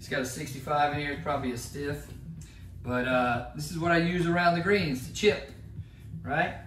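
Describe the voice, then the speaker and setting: A man talks with an American accent, with audible room echo and noticeable background noise. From Georgia, US South. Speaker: golf YouTuber. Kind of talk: casual equipment tutorial. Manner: casual, chatty.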